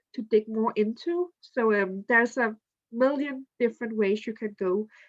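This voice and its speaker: A woman talks with ordinary pitch variation in a dry, close sound with no echo. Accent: non-native. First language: not English. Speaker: student ambassador presenter. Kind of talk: online info session presentation. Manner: halting.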